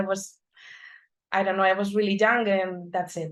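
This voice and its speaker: A woman with a Spanish accent speaks in a monotone, flat intonation on a very clean recording with a silent background. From Spain, Madrid. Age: 30s. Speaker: data analyst. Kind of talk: conference talk.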